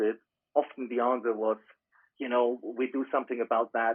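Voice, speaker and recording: A fairly quick man's voice in a German accent, medium in pitch. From Germany. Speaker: business consultant. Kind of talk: interview.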